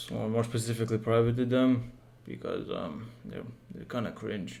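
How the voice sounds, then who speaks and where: A man's dark, mellow tone, fairly quick pace and fairly even intonation, with audible room echo. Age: just turned 18. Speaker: game developer and YouTuber. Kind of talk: casual channel update vlog. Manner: monotone; halting, with fillers.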